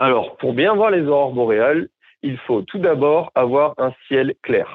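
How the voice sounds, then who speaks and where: A man with a fairly high pitch and lively intonation talks very slowly. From southern France, Montpellier. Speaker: former northern lights tour guide. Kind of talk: interview, explanatory.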